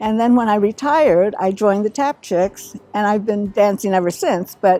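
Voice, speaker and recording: Over music in the background, a woman talks at medium pitch and a moderate pace with ordinary pitch variation, the sound dry and close with no echo. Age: 70s. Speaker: retired tap dancer in interview. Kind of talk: interview testimony.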